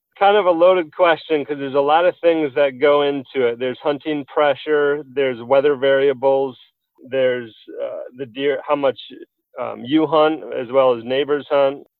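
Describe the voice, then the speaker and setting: Here is a man with an unremarkable speaking voice, pitched fairly high. He keeps a moderate pace and fairly even intonation. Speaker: app company CEO. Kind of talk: casual interview.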